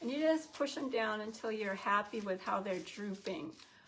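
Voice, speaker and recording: Speaking at a fairly slow pace, a woman with a fairly high, somewhat breathy voice uses lively intonation and an animated tone. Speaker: shop owner hosting live sale. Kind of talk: live sales stream. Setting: livestream.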